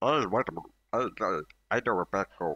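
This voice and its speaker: Using a put-on character voice, a man talks at a fairly quick pace. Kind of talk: broken halting speech.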